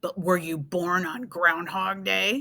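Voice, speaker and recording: A woman puts on a growling, rumbling character voice at a medium pitch. She speaks at a fairly slow pace. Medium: read story. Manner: grumbling.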